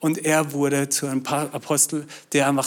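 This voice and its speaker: This is a very clean recording with a silent background. A man speaks at a fairly high pitch. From Austria. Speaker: pastor. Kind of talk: sermon.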